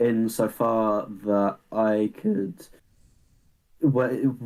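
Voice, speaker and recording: A man at medium pitch with a dark, mellow tone and an English accent. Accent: English accent, often imitates Kiwi. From England, an hour outside London. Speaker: podcast co-host, university student. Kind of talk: casual chat.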